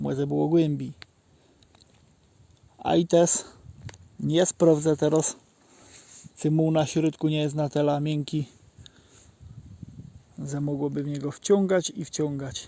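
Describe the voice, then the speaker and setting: Using a Żywiec highlander accent, a man speaks at a fairly slow pace with long, frequent pauses, his fairly high-pitched voice dark and mellow in tone and flat, monotone in intonation. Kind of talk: casual outdoor talk to camera. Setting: outdoors. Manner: spontaneous storytelling.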